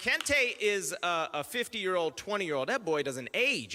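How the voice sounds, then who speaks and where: A man's raised, projected voice, high in pitch with very wide pitch swings, over noticeable background noise. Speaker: comedian. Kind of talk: stand-up. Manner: fast.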